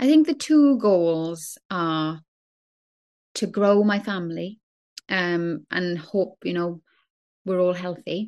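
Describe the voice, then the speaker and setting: Against a quiet background, a woman with a South Wales Valleys accent and a medium pitch speaks very slowly with lively intonation and long, frequent pauses. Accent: Welsh (south Wales valleys). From Wales, Rhondda. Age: 30s. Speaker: actress and singer. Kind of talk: interview.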